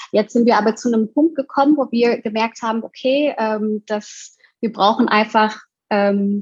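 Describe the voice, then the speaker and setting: Fairly slow and fairly high-pitched, a woman talks in an ordinary speaking voice. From Indonesia. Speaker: co-founder of an online shop. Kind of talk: interview conversation.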